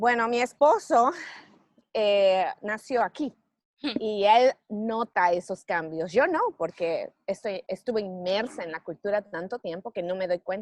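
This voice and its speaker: Using a normal speaking voice at medium pitch, a woman talks at a fairly slow pace with lively intonation, the sound dry and close with no echo. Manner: choppy, clipped with strong stresses.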